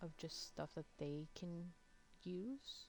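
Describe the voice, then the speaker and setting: Soft-spoken and very slow, a woman talks with a dark, mellow tone. Her pitch sits fairly low. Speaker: game streamer. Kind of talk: gameplay commentary. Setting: live stream.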